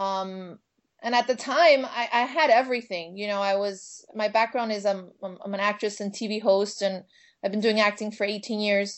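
A woman with a Miami Cuban accent talks at a moderate pace and medium pitch, with ordinary pitch variation. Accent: Cuban American, Miami. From Miami, US. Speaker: minister and spiritual teacher. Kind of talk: casual interview chat. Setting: phone or video call.

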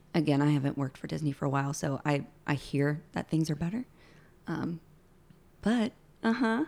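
A woman speaks at a fairly quick pace with lively intonation and a very deep, low pitch. Her pauses are long and frequent. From Alabama, US South. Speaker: former theme park character performer. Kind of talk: casual chat. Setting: home studio.

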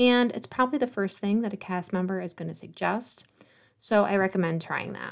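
A woman with an ordinary speaking voice talks at medium pitch and a fairly quick pace, her intonation lively. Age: 40s. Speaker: travel planner podcast host. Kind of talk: solo podcast monologue.

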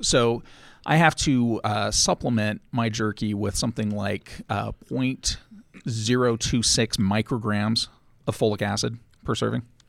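A man with an American accent and a plain, everyday voice talks at medium pitch and a fairly slow pace with fairly even intonation, recorded very cleanly with a silent background and a dry, close sound with no echo. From Los Angeles, then Utah. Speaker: panelist on a geek podcast. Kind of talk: casual interview chat.

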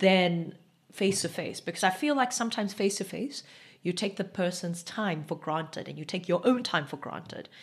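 Somewhat breathy and at a medium pitch, a woman talks at a fairly quick pace with ordinary pitch variation against a quiet background. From South Africa, Eastern Cape. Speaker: medical doctor, podcast co-host. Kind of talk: casual chat.

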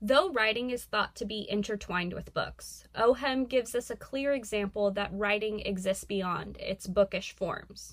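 In a plain, everyday voice, the speaker keeps a moderate pace with ordinary pitch variation and hardly any pauses. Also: woman, medium pitch for a woman. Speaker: student curator. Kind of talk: scripted segment reading.

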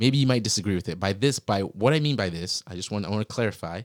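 A man with an American accent talks in a plain, everyday voice at a fairly quick pace with ordinary pitch variation, in a dry, close sound with no echo. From Virginia, US. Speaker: podcast host. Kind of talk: casual interview conversation. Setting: in-person room across a desk.

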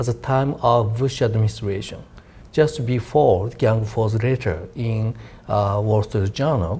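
A Japanese accent comes through in a somewhat breathy voice with a dark, mellow tone. The pace is very slow. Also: man. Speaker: defense policy researcher. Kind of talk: panel discussion.

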